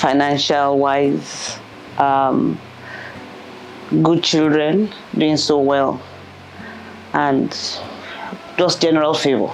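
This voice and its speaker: Recorded with audible room echo and noticeable background noise, a woman with a very deep, low pitch speaks at a very slow pace, with long, frequent pauses, very even loudness and fairly even intonation. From England. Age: 60s. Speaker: entrepreneur and mother. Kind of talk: personal interview. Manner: halting.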